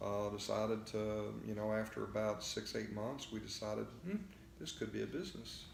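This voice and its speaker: The speaker has a Texan accent and talks at a moderate pace. There is audible room echo. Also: man. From Texas. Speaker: float therapy business owner. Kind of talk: interview. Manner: halting, many fillers.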